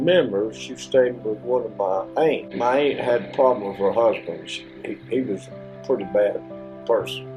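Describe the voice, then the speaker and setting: Music in the background behind a man speaking at a fairly slow pace. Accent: Appalachian. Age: 80s+. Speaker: elderly interviewee. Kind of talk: oral history interview. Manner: halting.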